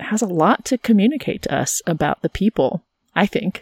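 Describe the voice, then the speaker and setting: An unremarkable speaking voice at a moderate pace, with lively intonation and a dry, close sound with no echo. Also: woman. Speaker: podcast host and biblical scholar. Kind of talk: casual conversation.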